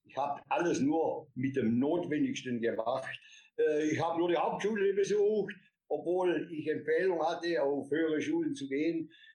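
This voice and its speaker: This man has a dark, mellow tone and a fairly high pitch. He talks at a moderate pace with ordinary pitch variation. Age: 60s. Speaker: company founder and author. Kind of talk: interview.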